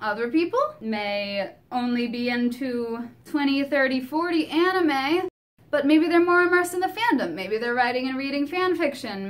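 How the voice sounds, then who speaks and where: There is noticeable background noise as a woman speaks. She talks at a fairly slow pace with lively intonation. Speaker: YouTube singer and vlogger. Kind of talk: casual talk to camera. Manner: light-hearted, humorous.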